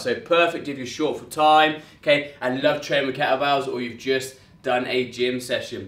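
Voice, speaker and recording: A man speaks at a moderate pace. Audible room echo can be heard around his voice. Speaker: fitness trainer. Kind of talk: workout tutorial. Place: gym. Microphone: camera far.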